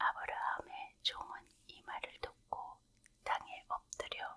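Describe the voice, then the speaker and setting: Very slow whispering against noticeable background noise. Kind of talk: scripture narration reading. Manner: whispered, soft.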